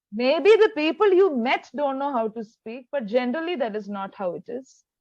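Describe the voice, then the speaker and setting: In a Keralan accent, a woman speaks at a moderate pace and high pitch, with very wide pitch swings and big swings in loudness. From India, Kerala. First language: Malayalam. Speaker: English tutor. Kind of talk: online tutoring conversation.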